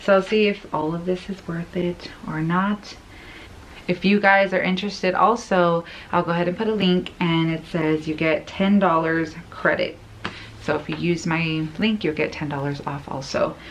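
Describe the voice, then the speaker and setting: Soft-spoken and fairly low-pitched, a woman talks at a moderate pace with fairly even intonation. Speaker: lifestyle vlogger. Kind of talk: casual unboxing vlog.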